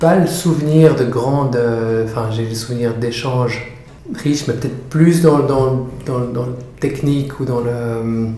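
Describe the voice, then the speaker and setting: Speech comes at a very slow pace with fairly even intonation, backed by audible room echo and noticeable background noise. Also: man, medium pitch for a man. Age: 30s. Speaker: doula for fathers, former lawyer. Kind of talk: interview. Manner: halting, many fillers and repetitions.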